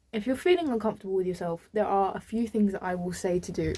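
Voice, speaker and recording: Talking at a very fast pace with a British accent, a woman uses a medium pitch, ordinary pitch variation and a dark, mellow tone. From UK. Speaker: vlogger. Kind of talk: casual chat.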